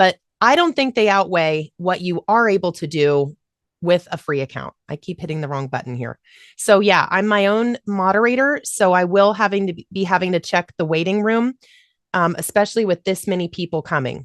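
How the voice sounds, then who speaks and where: A woman speaks at a medium pitch with lively intonation. The sound is dry and close with no echo, over a quiet background. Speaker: voiceover coach. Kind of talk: online workshop. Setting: video call. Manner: fast; loud.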